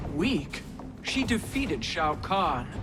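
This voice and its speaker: A man's put-on character voice, high in pitch, over loud background noise. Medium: video game.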